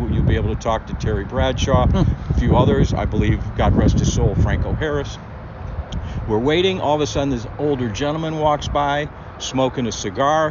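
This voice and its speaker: With an American accent, a man talks at a moderate pace while noticeable background noise plays behind him. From Cleveland, Ohio. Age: 60s. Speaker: podcast host, former sports reporter. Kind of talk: casual interview chat.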